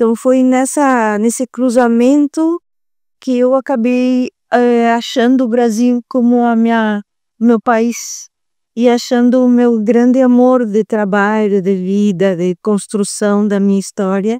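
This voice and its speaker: A woman's fairly high, dark, mellow voice in a strong Uruguayan accent, very slow, with fairly even intonation and a dry, close sound with no echo. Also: very even loudness. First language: Spanish (speaking Portuguese). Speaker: psychologist. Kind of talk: podcast interview. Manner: halting, with fillers.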